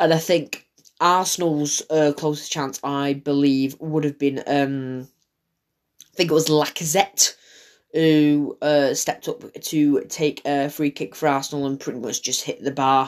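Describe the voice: Speaking at a fairly slow pace, a man keeps a fairly high pitch and fairly even intonation.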